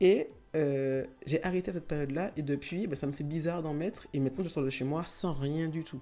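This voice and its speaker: At a fairly quick pace, a woman speaks with a very deep, low pitch. Her tone is dark and mellow, with ordinary pitch variation. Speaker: YouTuber on self-acceptance. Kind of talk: casual vlog talk. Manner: hesitant, many fillers.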